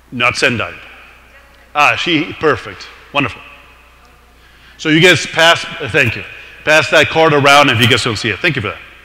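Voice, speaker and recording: Over noticeable background noise and audible room echo, a man with a fairly high pitch moves at a moderate pace, using ordinary pitch variation and long, frequent pauses. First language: not English. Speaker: tech meetup presenter. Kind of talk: technical presentation. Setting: live meetup with audience.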